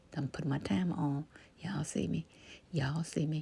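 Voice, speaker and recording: Somewhat breathy, a woman speaks at a moderate pace with a very deep, low pitch, a dark, mellow tone and ordinary pitch variation. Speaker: ASMR creator. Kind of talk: casual talk to camera while cooking. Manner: soft-spoken, calming.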